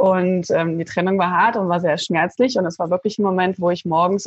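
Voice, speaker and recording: This somewhat breathy voice moves at a fairly quick pace with fairly even intonation. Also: woman. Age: 30s. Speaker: life coach. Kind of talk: interview.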